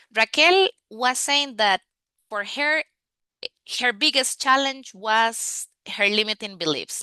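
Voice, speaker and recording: In a Spanish accent, a woman with a bright, sharp tone and a high pitch speaks at a very slow pace with very wide pitch swings, the sound dry and close with no echo against a quiet background. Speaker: language coach. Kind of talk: online masterclass. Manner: hesitant with fillers.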